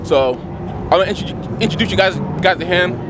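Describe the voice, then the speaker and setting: High-pitched male voice with ordinary pitch variation, noticeable background noise present. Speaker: car vlogger. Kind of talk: casual vlog chat. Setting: outdoors at drift track. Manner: loud.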